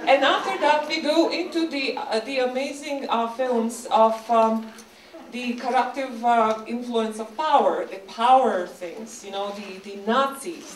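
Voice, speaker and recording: A fairly slow pace with ordinary pitch variation over noticeable background noise. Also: woman, big swings in loudness. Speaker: animator. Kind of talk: festival host introduction. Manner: hesitant, chatty.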